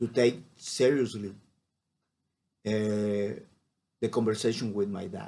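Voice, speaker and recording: Very slowly, a man talks in a fairly low voice with a Spanish accent. His tone is dark and mellow, and his intonation fairly even. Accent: Spanish (non-native English). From Mexico, Baja California Sur. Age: 40s. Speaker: marine biologist. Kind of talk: personal storytelling monologue. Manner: halting, many fillers.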